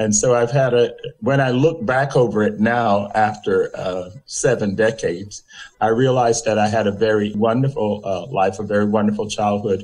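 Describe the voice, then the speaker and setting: This man has a medium-pitched voice. He speaks with a South Carolina accent. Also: fairly even intonation, moderate pace. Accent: Southern US (South Carolina). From US South, Conway, South Carolina. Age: 70s. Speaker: interview guest, community figure. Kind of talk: interview.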